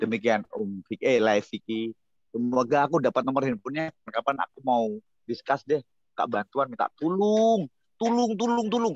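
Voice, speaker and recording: A man speaks with a Javanese accent at a moderate pace. His pitch swings very widely, and the sound is dry and close with no echo. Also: fairly high pitch for a man. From Semarang, Central Java. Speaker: Batak clan heir, video call guest. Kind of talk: casual chat.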